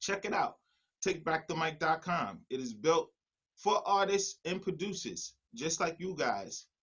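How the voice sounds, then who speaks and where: This speaker has a New York accent and an animated tone. The pace is fairly slow. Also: man, high pitch for a man, ordinary pitch variation. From New York City. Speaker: music producer. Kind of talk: online workshop presentation.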